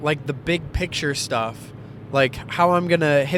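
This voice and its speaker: Noticeable background noise accompanies a man with an American accent who talks at a moderate pace with a fairly high pitch. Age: 20s. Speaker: vlogger, lawn care business owner. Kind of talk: casual vlog monologue.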